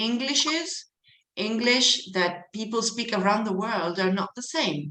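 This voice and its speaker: The woman's voice is fairly high-pitched, with a bright, sharp tone and lively intonation. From Argentina. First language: Spanish. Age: 50s. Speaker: English teacher. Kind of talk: online lecture to students. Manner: animated.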